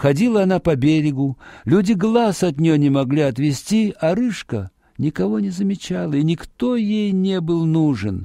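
A man with a dark, mellow tone, vocal fry, fairly high pitch, big pitch swings and a moderate pace.

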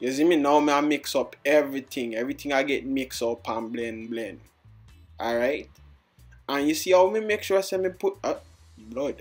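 A man's fairly high voice with a Jamaican accent and ordinary pitch variation, over music in the background. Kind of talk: comedic voiceover of a makeup tutorial. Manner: playful, joking.

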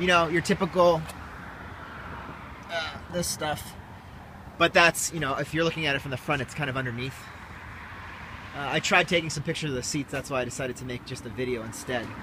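Over noticeable background noise, a man talks at a very fast pace with ordinary pitch variation and a dry sound with no echo. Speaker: car salesperson. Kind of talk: casual walkaround commentary. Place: street. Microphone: phone near.

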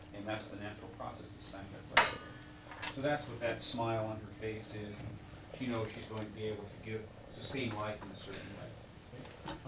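Loud background noise sits behind a man speaking at a moderate pace. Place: classroom. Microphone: old recording.

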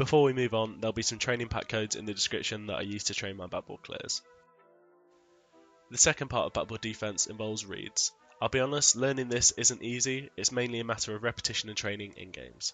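Over music in the background, someone talks at a very fast pace with fairly even intonation. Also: man. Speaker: gaming content creator. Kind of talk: gaming tutorial voice-over.

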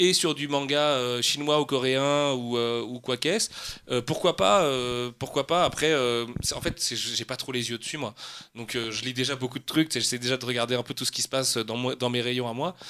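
A man's medium-pitched voice with a bright, sharp tone, fairly even intonation and a moderate pace. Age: 30s. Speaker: comics and manga publisher. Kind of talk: casual chat.

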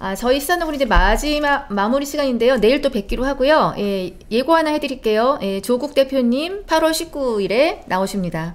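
Pitch swings very widely while the speech holds a moderate pace. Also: woman, high pitch for a woman. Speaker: talk show host. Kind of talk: live political talk show. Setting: studio. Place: studio. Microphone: studio mic.

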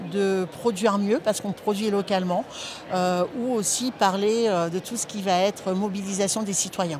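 Over noticeable background noise, a woman talks with fairly even intonation in a dry sound with no echo. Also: moderate pace. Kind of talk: interview answer. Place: hall. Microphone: lapel.

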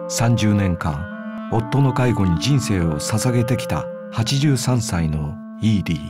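A fairly low-pitched man at a moderate pace, his pitch swinging very widely, with music in the background. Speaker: actor and narrator. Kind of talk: movie trailer narration. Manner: matter-of-fact, calm.

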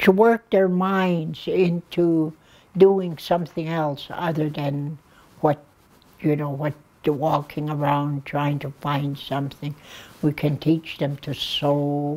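With a dark, mellow tone, the voice moves at a very slow pace with ordinary pitch variation. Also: woman. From Blood Reserve, Alberta, Canada. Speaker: addictions worker, elder. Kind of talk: interview answer. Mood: earnest, caring. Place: studio.

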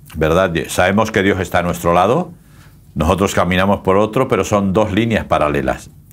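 The man has a very deep, low pitch and ordinary pitch variation. His loudness stays very even. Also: moderate pace. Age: old. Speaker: pastor. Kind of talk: casual chat. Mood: calm, warm, reflective. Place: studio.

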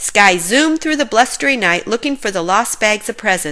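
An unforced voice reads aloud, its intonation lively.

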